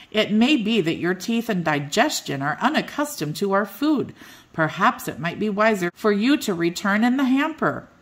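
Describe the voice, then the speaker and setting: A woman at medium pitch performs a put-on character voice. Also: moderate pace. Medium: read story. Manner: formal, genteel.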